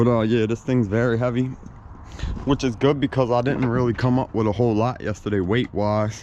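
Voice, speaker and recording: Over noticeable background noise, a man with an American accent talks at a medium pitch with fairly even intonation. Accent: Baltimore accent, remarked by viewers. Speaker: scrap metal collector vlogger. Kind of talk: casual vlog narration.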